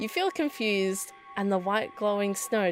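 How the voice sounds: Natural reading voice, nothing more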